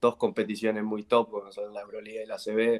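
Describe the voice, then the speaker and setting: A man at a medium pitch with monotone, flat intonation and a moderate pace. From Argentina. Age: 20s. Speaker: basketball player; guest. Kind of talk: interview. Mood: relaxed, content. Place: home room. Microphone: video call.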